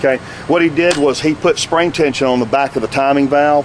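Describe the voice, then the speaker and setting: Noticeable background noise sits behind this man. His voice is fairly high, with fairly even intonation. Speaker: paintball product tech presenter. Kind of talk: tutorial. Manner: fast; halting, repeats words.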